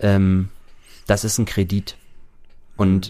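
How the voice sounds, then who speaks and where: Speaking at a very slow pace, a man uses a fairly low pitch and a dark, mellow tone. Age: 30s. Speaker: recovering gambling addict. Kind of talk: casual interview.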